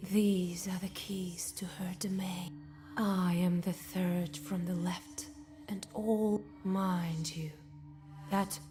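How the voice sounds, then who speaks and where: A female-sounding, put-on character voice at medium pitch speaks at a very slow pace. Light background noise is present. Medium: video game. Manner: cryptic.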